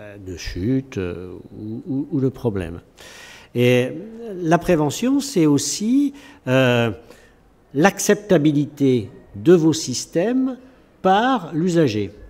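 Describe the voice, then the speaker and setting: A man with a fairly high pitch speaks at a very slow pace, with long, frequent pauses, very wide pitch swings, and big swings in loudness. The recording is very clean, with a silent background. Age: 70s. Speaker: researcher, emeritus professor. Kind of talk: panel discussion. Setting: recorded at a festival. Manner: halting, many fillers.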